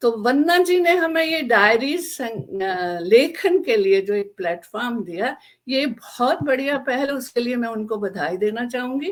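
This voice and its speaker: With hardly any pauses, a woman talks at a high pitch through very wide pitch swings. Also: very clean recording, silent background. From Jammu region (Dogra). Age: old. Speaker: author, army wife. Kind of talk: panel talk at book discussion.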